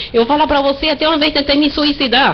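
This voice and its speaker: A woman speaking over noticeable background noise. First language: Spanish (speaking Portuguese). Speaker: church member. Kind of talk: testimony. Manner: halting.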